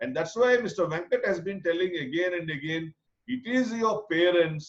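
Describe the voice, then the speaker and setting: A man with a Telugu accent and lively intonation. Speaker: program coordinator. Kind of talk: online info session.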